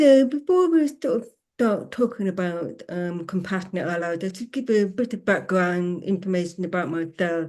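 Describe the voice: A woman speaks with a fairly low pitch and a slightly mellow tone. Her intonation is lively. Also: moderate pace.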